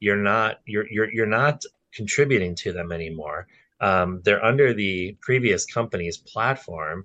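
A man with an American accent, his tone bright and sharp, fairly low in pitch, at a fairly slow pace with ordinary pitch variation, over a quiet background. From Wisconsin, Milwaukee area. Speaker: financial advisor. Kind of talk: casual interview chat.

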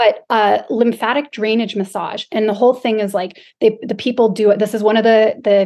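This woman has a plain, everyday voice with a fairly high pitch. She talks at a moderate pace. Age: 40s. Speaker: podcast co-host. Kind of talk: casual chat.

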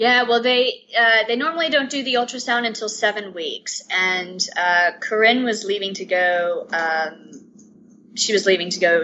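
This woman speaks fairly slowly in a plain, everyday voice, her pitch fairly high and her intonation lively. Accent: American. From US South, Atlanta. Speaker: stay-at-home mum of twins. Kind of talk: interview.

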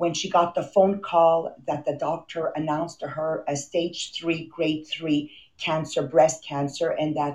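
A woman in a Quebec accent speaks at a fairly slow pace and a fairly low pitch. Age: 50s. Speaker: motivational podcast host. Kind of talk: motivational talk. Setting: video call. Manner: animated.

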